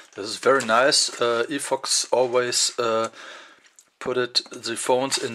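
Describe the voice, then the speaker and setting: The speech moves at a very slow pace with noticeable background noise behind it. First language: German. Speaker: tech reviewer. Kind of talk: unboxing video. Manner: halting, many fillers.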